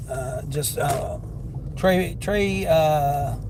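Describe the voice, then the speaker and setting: This man speaks with a Southern accent. His voice carries audible room echo over noticeable background noise. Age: 50s. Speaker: delivery driver and livestreamer. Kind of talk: casual livestream chat.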